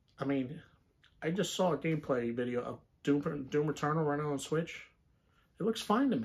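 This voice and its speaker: A man with a fairly high, somewhat breathy voice speaks at a moderate pace with ordinary pitch variation and long, frequent pauses. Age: 20s. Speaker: gaming YouTuber. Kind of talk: casual monologue. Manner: hesitant with fillers. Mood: relaxed opinionated chat. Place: home room. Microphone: phone near.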